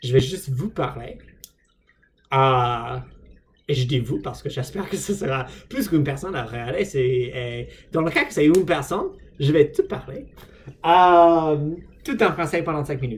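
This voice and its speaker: Somewhat breathy, the voice moves at a fairly slow pace with lively intonation and long, frequent pauses. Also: man. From United States. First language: English (speaking French). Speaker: vlogger, language learner. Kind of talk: casual vlog monologue. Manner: halting, many hesitations.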